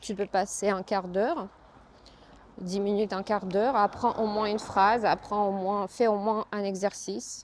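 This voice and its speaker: A woman speaks with a Russian accent at a medium pitch. Her pace is fairly slow and her intonation fairly even. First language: Russian (speaking French). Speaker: yoga teacher. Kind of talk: casual vlog talk. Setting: outdoors, walking. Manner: hesitant, with fillers.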